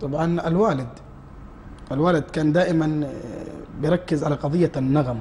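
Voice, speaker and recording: With a Hejazi accent, a man with a fairly high pitch speaks at a fairly slow pace and ordinary pitch variation over noticeable background noise. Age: 20s. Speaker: nasheed singer. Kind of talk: TV interview. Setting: TV studio.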